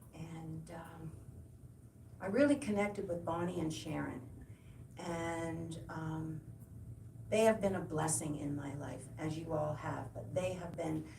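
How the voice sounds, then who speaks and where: Amid noticeable background noise and audible room echo, a woman speaks at a fairly slow pace with long, frequent pauses and big swings in loudness. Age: 70s. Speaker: guest speaker at church service. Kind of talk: personal testimony. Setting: church service. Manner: halting, many fillers and repetitions.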